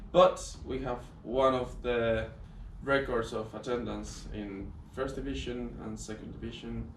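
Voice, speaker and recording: A man with a Spanish accent at a fairly slow pace, big swings in loudness, noticeable background noise and audible room echo. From southern Spain, Granada. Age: 20s. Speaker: sports management student. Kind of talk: casual chat.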